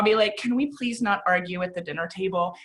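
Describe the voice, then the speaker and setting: This woman speaks loudly. Her intonation is lively. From US South. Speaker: executive coach. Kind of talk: casual chat.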